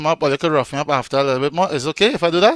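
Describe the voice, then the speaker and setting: In a strong Trinidadian accent, the speaker's bright, sharp voice shows ordinary pitch variation, with a dry, close sound free of echo on a very clean recording with a silent background. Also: man. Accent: Trinidadian, still strong. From Trinidad and Tobago. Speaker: online event host and radio DJ. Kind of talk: casual live-stream hosting.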